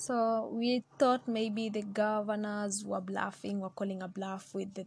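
A woman's somewhat breathy, medium-pitched voice at a fairly slow pace. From Kenya. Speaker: podcast host. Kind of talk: solo podcast monologue on politics. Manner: casual, with frequent fillers and laughs.

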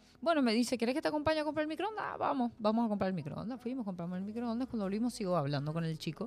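A woman with an Argentine accent talks very fast at a fairly high pitch, with hardly any pauses. Her pitch swings very widely, and there is noticeable background noise. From Argentina, Mendoza. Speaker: guest. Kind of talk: casual chat.

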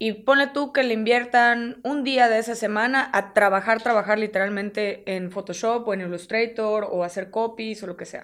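A woman with a fairly high pitch speaks at a moderate pace, her loudness swinging widely, in a very clean recording with a silent background. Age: 30s. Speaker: agency CEO and graphic designer. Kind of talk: casual interview. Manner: halting.

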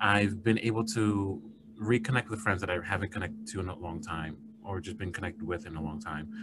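With an American accent, a man talks at a fairly quick pace in an ordinary speaking voice, fairly low in pitch with ordinary pitch variation. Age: 30s. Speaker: psychologist and podcast host. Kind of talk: casual chat.

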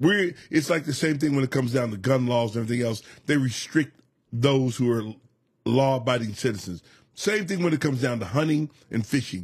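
Speaking at a fairly quick pace, a man with a medium pitch sounds somewhat breathy. His tone is animated, and his intonation is lively. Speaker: podcast co-host. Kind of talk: casual chat.

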